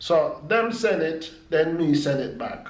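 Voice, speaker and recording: Over noticeable background noise, a man with a fairly high pitch speaks with a Jamaican accent. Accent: Jamaican Patois. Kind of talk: casual vlog talk to camera.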